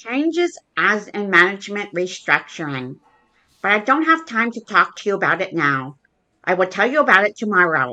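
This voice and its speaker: A woman does a cartoonish character voice at a medium pitch. Her pitch swings very widely. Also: moderate pace. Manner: curt, hurried.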